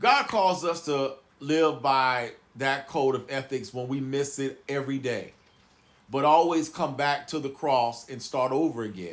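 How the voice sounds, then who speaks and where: Speaking at a fairly slow pace, a man with a fairly high pitch sounds animated, his pitch varying in an ordinary way. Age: 40s. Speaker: YouTube commentator and pastor. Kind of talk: reaction commentary.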